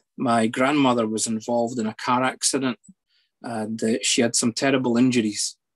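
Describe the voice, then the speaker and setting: The speaker has a Scottish accent and a monotone, flat intonation at a moderate pace. The background is quiet. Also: man. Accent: Scottish (Edinburgh area). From Scotland, near Edinburgh; Scotland. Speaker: psychologist; guest. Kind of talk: personal testimony. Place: home room. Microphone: video call.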